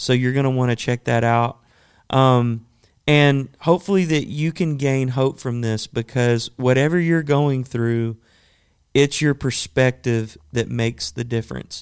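A man with an unremarkable speaking voice talks at a fairly slow pace, with medium pitch and fairly even intonation, in a very clean recording with a silent background. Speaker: podcast host. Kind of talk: casual interview chat.

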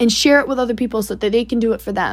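This woman has a fairly high pitch and ordinary pitch variation. She has an unremarkable speaking voice. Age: 20s. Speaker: solo podcast host, young entrepreneur. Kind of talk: personal monologue. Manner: casual, filler-heavy.

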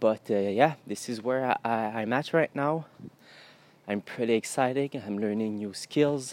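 A man with a Quebec French accent speaks at a moderate pace, medium pitch and ordinary pitch variation, in a dry, close sound with no echo. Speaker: podcaster and agency owner. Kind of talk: solo monologue podcast.

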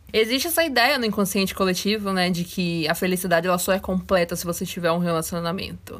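Recorded very cleanly with a silent background, a woman speaks at medium pitch and a moderate pace in an ordinary speaking voice with ordinary pitch variation. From Brazil, Salvador and interior of Rio de Janeiro. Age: 20s. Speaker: podcast host. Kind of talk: solo podcast monologue.

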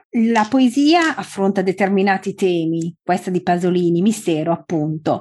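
Speaking fairly slowly in an ordinary speaking voice, a woman keeps a medium pitch with ordinary pitch variation. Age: 40s. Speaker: podcast host. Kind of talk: scripted introduction; interview.

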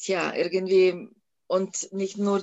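A woman with a Lithuanian accent speaks at a very slow pace. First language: Lithuanian (speaking German). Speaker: national park director. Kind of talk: interview. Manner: hesitant, many fillers.

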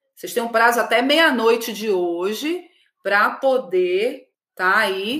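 The tone is bright and sharp, with lively intonation. The pace is fairly slow. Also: woman. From Belém do Pará, northern Brazil. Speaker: emotional clarity facilitator, livestream host. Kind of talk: live-streamed workshop talk to viewers. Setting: live video stream. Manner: animated.

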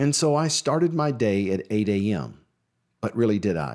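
An unremarkable speaking voice from a man, fairly slow in pace with lively intonation, in a very clean recording with a silent background. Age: 50s. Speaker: registered nurse and weight loss podcast host. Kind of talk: solo podcast monologue, motivational talk. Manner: encouraging, conversational.

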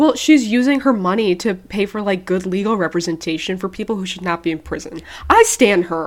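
In a plain, everyday voice, a woman of medium pitch speaks at a fairly quick pace with ordinary pitch variation. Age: 20s. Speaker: podcast co-host. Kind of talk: casual chat.

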